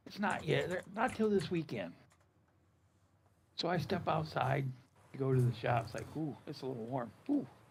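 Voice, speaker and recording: Here a man speaks at a moderate pace with a fairly high pitch and vocal fry. His pitch swings very widely. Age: 70s. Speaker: gaming streamer and farmer. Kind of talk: casual chat. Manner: animated.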